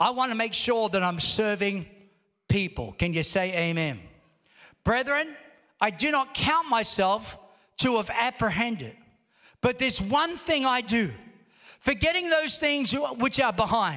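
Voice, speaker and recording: Extremely high for a man, his raised, projected voice sounds animated, bright and sharp, with lively intonation, a fairly slow pace and long, frequent pauses. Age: 60s. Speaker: pastor. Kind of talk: sermon, rousing Pentecostal church preaching with call-and-response. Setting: church service with congregation. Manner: animated, exhorting the congregation with repeated calls for amen; conversational, punchy rhetorical questions.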